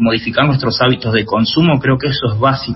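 In a plain, everyday voice, a man talks at a fairly quick pace with a medium pitch and fairly even intonation. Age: 40s. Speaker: author and environmental journalist. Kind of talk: interview.

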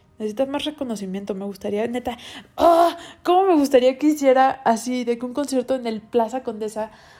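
A woman with a Mexican accent speaks in a dark, mellow tone with ordinary pitch variation. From Mexico, Cancún. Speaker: podcast host. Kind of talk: casual music review monologue.

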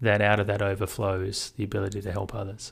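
At a moderate pace comes a plain, everyday voice. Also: man. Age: 40s. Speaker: podcast co-host, life coach. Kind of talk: casual chat.

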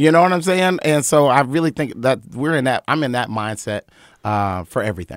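Here is a man with a plain, everyday voice, fairly high in pitch, talking at a fairly quick pace with lively intonation. The sound is dry and close with no echo, a very clean recording over a silent background. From North Carolina (Wilmington). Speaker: event organizer and media entrepreneur. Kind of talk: casual chat. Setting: studio.

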